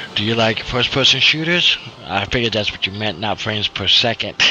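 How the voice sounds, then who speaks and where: There is noticeable background noise as a man talks. He keeps a moderate pace with lively intonation. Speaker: gaming streamer. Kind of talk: casual live stream chat. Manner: quiet, keeping voice down. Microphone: hard to hear, too quiet.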